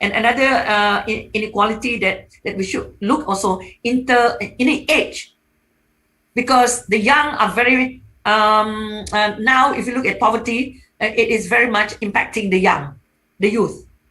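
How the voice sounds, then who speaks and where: At a moderate pace, a woman talks in a bright, sharp tone, fairly high pitched with ordinary pitch variation. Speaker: economics professor, panelist. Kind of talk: webinar panel talk. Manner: halting, many fillers.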